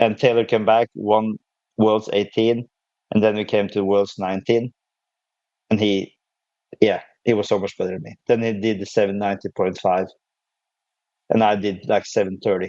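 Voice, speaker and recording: With a non-native accent and a dark, mellow tone, the speaker talks at a moderate pace in monotone, flat intonation with long, frequent pauses, in a dry, close sound with no echo. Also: man. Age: 30s. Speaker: powerlifter. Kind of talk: podcast interview. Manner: halting.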